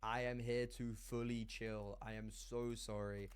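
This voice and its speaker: A man talks in an animated tone. Audible room echo surrounds his voice. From Ireland. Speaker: esports caster. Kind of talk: casual commentary on a stream.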